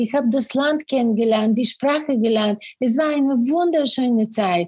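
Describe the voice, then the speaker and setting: Her voice has a dark, mellow tone and a fairly high pitch, this woman. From Bulgaria. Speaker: business coach. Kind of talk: interview.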